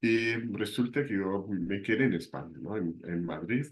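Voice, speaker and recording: Lively intonation from a man at a fairly slow pace. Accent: slight German. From southern Germany. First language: German (speaking Spanish). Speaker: university lecturer. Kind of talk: lecture.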